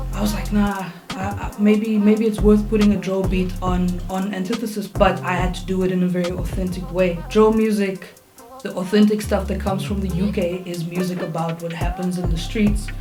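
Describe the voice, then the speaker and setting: Speech at a moderate pace, with audible room echo and music in the background. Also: woman. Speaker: music producer. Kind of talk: tutorial. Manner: casual.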